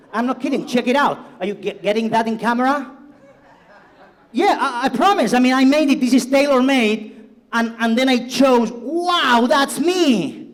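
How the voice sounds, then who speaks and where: With an animated tone and an extremely high pitch, a man speaks at a moderate pace, leaving long, frequent pauses. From Spain, Barcelona (Catalonia). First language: Spanish or Catalan. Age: 50s. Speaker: cybersecurity executive, conference speaker. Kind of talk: conference keynote talk. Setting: stage with audience.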